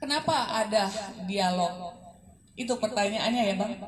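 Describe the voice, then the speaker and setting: Over noticeable background noise, a woman speaks at a fairly slow pace with a fairly high pitch. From Indonesia, North Sumatra (Medan). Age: middle-aged. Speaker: author. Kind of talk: book discussion talk. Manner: casual, conversational.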